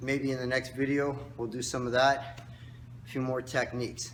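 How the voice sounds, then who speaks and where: A man with a mid-range pitch talks at a moderate tempo, his voice carrying audible echo from the room. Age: 60s. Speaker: karate instructor. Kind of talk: tutorial. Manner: casual, instructive.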